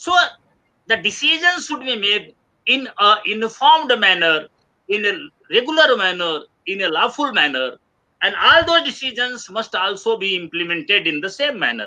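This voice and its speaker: This raised, projected voice has a bright, sharp tone and an Indian accent. Its pitch swings very widely at a moderate pace. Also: man, high pitch for a man. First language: Hindi. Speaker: webinar speaker. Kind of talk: lecture. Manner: halting.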